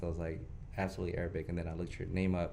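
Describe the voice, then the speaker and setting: Here a man speaks in a dark, mellow tone. Room echo is audible around him. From Houston, Texas. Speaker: podcast host. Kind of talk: casual interview.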